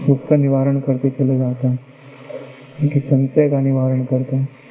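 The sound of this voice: The pace is fairly slow. It is a man who talks.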